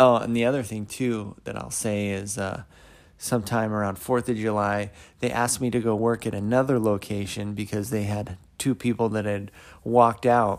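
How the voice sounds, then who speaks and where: A man speaks in a relaxed tone at a moderate pace, with fairly low pitch and fairly even intonation. The recording is very clean, with a silent background. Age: 30s. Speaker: podcaster. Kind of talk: personal monologue. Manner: relaxed, hesitant with fillers.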